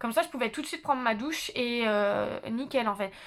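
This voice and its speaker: A woman speaks loudly in a high voice. The recording is very clean, with a silent background. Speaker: YouTuber, psychology student. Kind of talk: casual vlog monologue. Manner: hesitant, many fillers.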